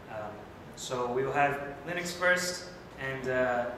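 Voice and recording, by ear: Audible room echo surrounds a man who speaks at a slow pace. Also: medium pitch for a man, ordinary pitch variation.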